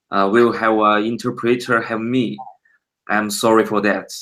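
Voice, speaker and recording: Speaking with a Chinese accent, a man of medium pitch uses monotone, flat intonation and a bright, sharp tone at a moderate pace. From China. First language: Mandarin Chinese. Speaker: digital painter. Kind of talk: interview. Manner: halting.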